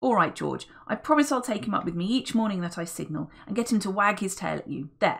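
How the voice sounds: What we hear is a natural reading voice.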